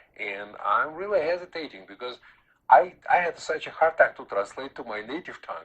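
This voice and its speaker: A man speaks with a Russian accent. His pace is moderate. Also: big swings in loudness. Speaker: Taoist master and author. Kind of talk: radio interview. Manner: halting, many fillers.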